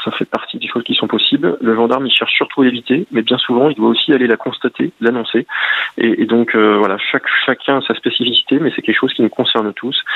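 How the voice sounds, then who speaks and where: Noticeable noise sits behind talk delivered at a fairly quick pace. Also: man. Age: 40s. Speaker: gendarmerie officer and author. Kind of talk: radio interview. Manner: halting.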